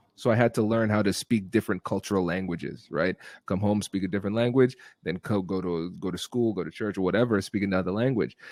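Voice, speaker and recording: A very fast American-accented man at a fairly low pitch with ordinary pitch variation, in a very clean recording with a silent background and a dry, close sound with no echo. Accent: US business accent, Caribbean when relaxed. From Ohio, US Midwest, Caribbean family. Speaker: negotiation expert and lawyer. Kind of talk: podcast interview.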